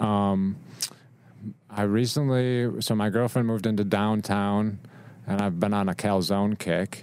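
A man's fairly low voice, a normal speaking voice, with fairly even intonation, very even loudness and a fairly slow pace. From Rochester, New York. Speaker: photographer. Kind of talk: casual interview. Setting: studio.

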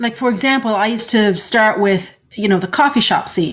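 Fairly high-pitched and somewhat breathy, a woman speaks at a moderate pace. Her intonation is lively. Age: 50s. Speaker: podcast co-host and story editor. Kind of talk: casual chat.

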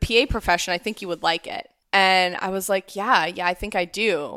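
A woman's medium-pitched voice with a Midwestern accent and fairly even intonation, on a very clean recording with a silent background. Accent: American Midwestern. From US Midwest, Ohio. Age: 30s. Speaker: physician assistant. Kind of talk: casual chat.

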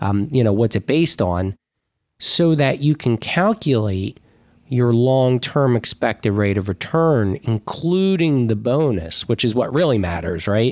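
A man uses a normal speaking voice at medium pitch, with lively intonation, very even loudness and a fairly slow pace. The recording is very clean, with a silent background and a dry, close sound with no echo. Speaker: financial advisor. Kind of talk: casual chat.

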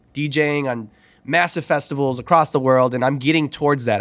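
Speaking with an American accent and an ordinary speaking voice, a man moves at a fairly quick pace with medium pitch and fairly even intonation. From Chicago. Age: 30s. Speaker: DJ and former teacher. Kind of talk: casual chat.

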